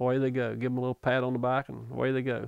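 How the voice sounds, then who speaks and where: The speaker talks with an Appalachian accent. The pace is very fast. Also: man. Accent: Appalachian American. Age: 60s. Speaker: retired pipe fitter and lure maker. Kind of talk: interview answer. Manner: casual, folksy.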